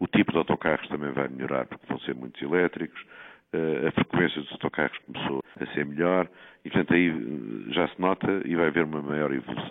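Moving at a fairly quick pace, a man talks in a very deep, low pitch. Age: 60s. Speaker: city councillor. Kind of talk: interview.

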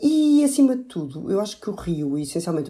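A woman's dark, mellow tone at a fairly quick pace, with very wide pitch swings. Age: young. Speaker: political commentator. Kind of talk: political panel discussion.

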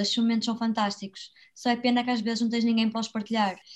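This woman's voice sits fairly high and sounds somewhat breathy. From Braga, northern Portugal. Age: 20s. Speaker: author and traveller. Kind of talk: interview.

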